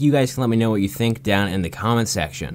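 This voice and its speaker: Noticeable background noise accompanies a man talking at a medium pitch. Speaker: YouTube commentator. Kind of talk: video countdown commentary. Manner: fast.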